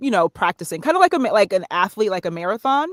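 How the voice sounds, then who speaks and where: With an American accent, a woman speaks at a medium pitch and lively intonation. The sound is dry and close, with no echo. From northern New Jersey. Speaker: voiceover artist and narrator. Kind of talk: interview.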